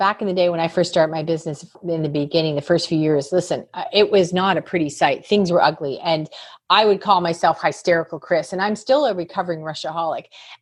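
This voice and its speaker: Her tone animated, a woman with a fairly low pitch talks at a very fast pace. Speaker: business coach and author. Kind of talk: podcast interview. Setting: podcast recording.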